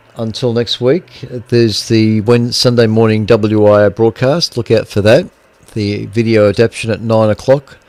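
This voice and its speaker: With an Australian accent, a man talks at a medium pitch and with fairly even intonation. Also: moderate pace. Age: 60s. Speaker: amateur radio operator and stream host. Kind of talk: casual radio chat. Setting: radio repeater net, streamed.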